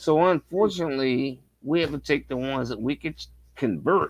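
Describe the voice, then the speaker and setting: A man speaks at a fairly quick pace in a medium pitch, with an ordinary speaking voice. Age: 50s. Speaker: guest. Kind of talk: casual chat.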